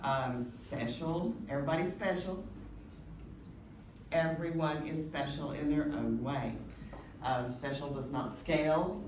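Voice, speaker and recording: With an American accent, a woman of very deep, low pitch speaks at a fairly slow pace with fairly even intonation and long, frequent pauses, amid noticeable background noise and audible room echo. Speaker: agile consultant and executive. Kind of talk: presentation. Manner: hesitant with filler.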